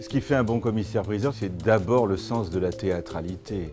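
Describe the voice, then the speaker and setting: A man speaking with music in the background. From France. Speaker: fine art auctioneer. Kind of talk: interview answer.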